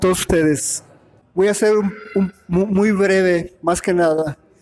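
A man at a high pitch and fairly slow pace, very even in loudness, over noticeable background noise. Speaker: veteran football referee. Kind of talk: panel discussion.

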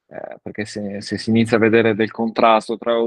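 The sound is dry and close with no echo over a quiet background. A man speaks at a medium pitch and a fairly quick pace. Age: 30s. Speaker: father and parenting social media creator. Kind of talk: casual chat. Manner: halting, with frequent repetitions.

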